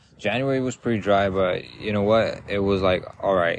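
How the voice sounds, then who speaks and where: A loud man's voice, fairly low in pitch, at a moderate pace. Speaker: podcast host. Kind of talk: casual monologue. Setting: outdoors in a park. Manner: rambling with fillers.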